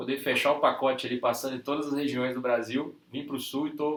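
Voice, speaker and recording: Using fairly even intonation, a man talks at a medium pitch. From Brazil, Minas Gerais (Ipatinga, Vale do Aço). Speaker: real estate sales director. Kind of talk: interview.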